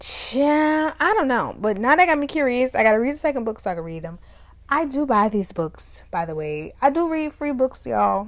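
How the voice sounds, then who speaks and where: This woman has a high, animated voice with very wide pitch swings. She speaks at a moderate pace. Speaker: podcast host. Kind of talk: casual solo podcast monologue.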